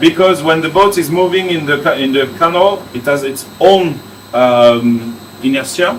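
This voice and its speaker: Against noticeable background noise and audible room echo, a fairly high-pitched man speaks at a fairly slow pace with ordinary pitch variation. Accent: French. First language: French. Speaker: theme park engineer. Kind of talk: behind-the-scenes tour explanation. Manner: halting, with frequent hesitations.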